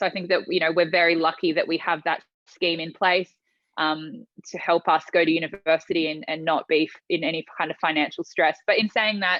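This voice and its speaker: At a fairly quick pace, a woman with an Australian accent talks in a fairly low pitch, with fairly even intonation and big swings in loudness. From Tonga and Australia. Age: 20s. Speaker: pageant finalist and entrepreneur. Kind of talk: podcast interview.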